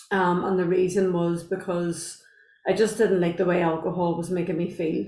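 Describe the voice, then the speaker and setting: In an Irish accent, a woman speaks at medium pitch and a moderate pace, with audible room echo. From Northern Ireland, Belfast. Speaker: guest sharing sobriety story. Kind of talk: podcast interview, personal testimony. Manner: hesitant, many fillers.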